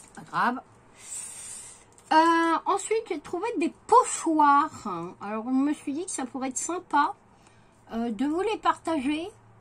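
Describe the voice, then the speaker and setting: A woman's high voice with very wide pitch swings, a very slow pace and long, frequent pauses. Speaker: craft vlogger. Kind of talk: haul video. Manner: hesitant, many fillers.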